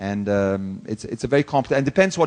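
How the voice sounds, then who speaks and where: A man with an Italian accent at a very fast pace, in a dry, close sound with no echo. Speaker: corporate executive. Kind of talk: conference Q&A.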